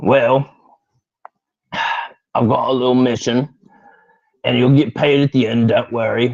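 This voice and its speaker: In a raspy, put-on character voice, a man speaks at a medium pitch with monotone, flat intonation, a fairly slow pace and long, frequent pauses. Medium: actual play. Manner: blunt, offhand.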